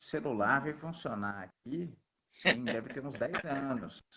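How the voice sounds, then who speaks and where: A man talks at a fairly slow pace in a fairly high pitch. His pitch swings very widely. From Belo Horizonte, Minas Gerais, Brazil. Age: young. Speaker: missionary. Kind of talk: interview testimony.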